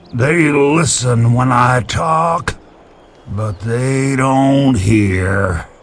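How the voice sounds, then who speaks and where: Speaking very slowly, a man adopts a put-on character voice. His pitch sits in the medium range. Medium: video game. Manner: wry, rambling, good-humored.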